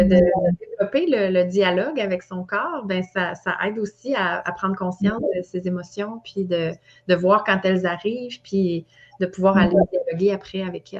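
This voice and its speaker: The pace is fairly slow. A woman talks, her pitch moving in a usual manner. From Quebec. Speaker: wellness trainer and coach. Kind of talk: interview answer.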